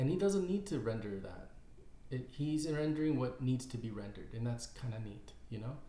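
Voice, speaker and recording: Audible room echo surrounds a man speaking at a moderate pace. His dark, mellow voice is somewhat breathy, with lively intonation. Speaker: caricature artist and YouTuber. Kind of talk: casual tutorial. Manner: halting, many fillers and repeats.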